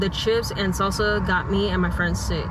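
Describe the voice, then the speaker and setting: Loud background noise fills the recording, yet the sound is dry with no echo. The speech moves at a moderate pace. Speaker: vlogger. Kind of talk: casual vlog chat, reading reviews aloud. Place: car. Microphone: lapel.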